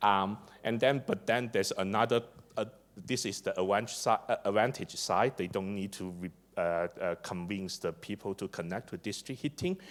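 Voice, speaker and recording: A man speaks with a Chinese accent. His fairly low pitch shows ordinary variation. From China. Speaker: district energy engineer and conference speaker. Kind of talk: conference presentation. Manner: hesitant, many fillers and repetitions; hurried.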